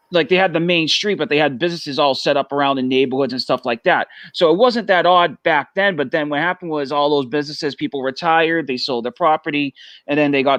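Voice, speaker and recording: Very fast speech with a Boston accent, ordinary pitch variation, a dry, close sound with no echo and a quiet background. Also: man. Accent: thick Boston. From Massachusetts (Arlington, near Boston). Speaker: family business member. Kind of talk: casual chat.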